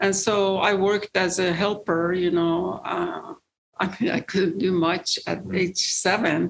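Fairly slow, monotone speech in an Iranian accent, flat in intonation and very even in loudness. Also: woman, medium pitch for a woman. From Iran, rural village. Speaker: real estate investor. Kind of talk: interview, personal story. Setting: studio. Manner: halting, many fillers.

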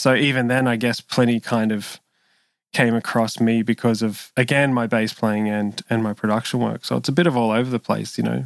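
On a very clean recording with a silent background and a dry, close sound with no echo, a man with an Australian accent speaks at a fairly quick pace in a medium pitch. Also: fairly even intonation. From Sydney, Australia. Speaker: session bass player and producer. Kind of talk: interview conversation.

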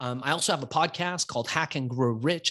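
Against a quiet background, a man uses an ordinary speaking voice at a fairly high pitch and a moderate pace. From Iran, raised in US from childhood. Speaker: entrepreneur and author. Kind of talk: interview storytelling.

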